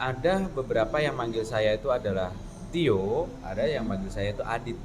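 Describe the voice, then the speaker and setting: A man with a Jakarta accent at a moderate pace, with audible room echo. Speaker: community member, public speaker. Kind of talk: casual discussion.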